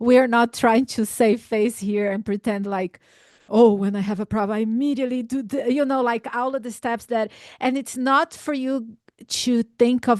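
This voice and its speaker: At a moderate pace and with fairly even intonation, this speaker has a non-native accent, recorded with a dry, close sound with no echo against a quiet background. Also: woman, fairly high pitch for a woman. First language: not English. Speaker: youth ministry leader. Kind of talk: church discussion panel.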